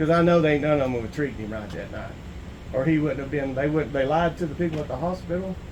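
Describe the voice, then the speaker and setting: With a Southern US accent, a man talks at a very fast pace in a fairly high pitch with ordinary variation, over noticeable background noise and audible room echo. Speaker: citizen auditor filing a complaint. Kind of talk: in-person conversation filing a complaint.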